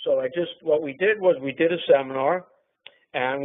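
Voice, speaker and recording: A man with a New York accent speaks with ordinary pitch variation. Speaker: trader and trading teacher. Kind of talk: webinar talk.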